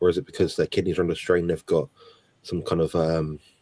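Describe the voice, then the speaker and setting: Quiet and at a fairly quick pace, a man speaks in a dry, close recording with no echo. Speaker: health guest. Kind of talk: live Q&A.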